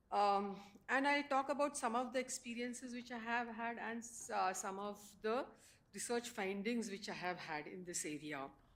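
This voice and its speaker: The room echo is audible as a woman speaks at a moderate pace, her fairly high voice carrying lively intonation. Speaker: professor. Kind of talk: panel presentation. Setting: conference stage with audience. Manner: hesitant, many fillers.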